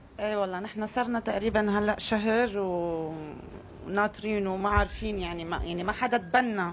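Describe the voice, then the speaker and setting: A woman talks with fairly even intonation at a moderate pace, with light background noise behind her. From Lebanon. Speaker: relative of kidnapped soldier. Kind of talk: live interview. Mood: weary, frustrated. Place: tent. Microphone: handheld.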